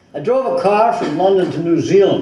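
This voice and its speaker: Over noticeable background noise, a man talks fairly slowly. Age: 80s+. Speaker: author. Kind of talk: book reading at a live event. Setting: bookstore event.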